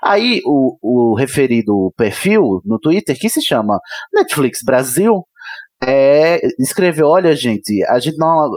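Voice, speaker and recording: Dry and close with no echo, a man's fairly high voice makes very wide pitch swings while keeping very even loudness. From Brazil. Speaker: podcaster. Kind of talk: casual chat.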